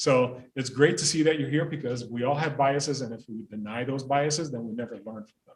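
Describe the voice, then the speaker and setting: Somewhat breathy and medium-pitched, a man talks at a fairly quick pace with hardly any pauses, ordinary pitch variation and big swings in loudness. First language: not English (second language learner). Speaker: school principal. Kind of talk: panel talk. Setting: library event with audience and zoom.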